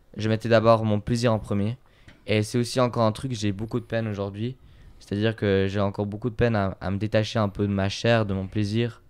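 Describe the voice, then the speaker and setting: The speaker uses monotone, flat intonation at a fairly quick pace. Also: man. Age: 20s. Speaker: podcast guest. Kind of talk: casual chat. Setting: recorded at his home. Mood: calm, reflective. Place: home room. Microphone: handheld.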